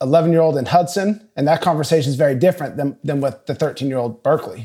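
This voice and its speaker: In a very clean recording with a silent background, a man talks very fast in a dark, mellow tone. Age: 30s. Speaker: business podcast guest, father. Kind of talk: casual chat.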